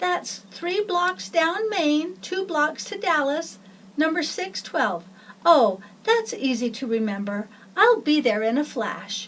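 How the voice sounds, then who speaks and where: A woman's high-pitched, put-on character voice with very wide pitch swings at a fairly slow pace. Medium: read story.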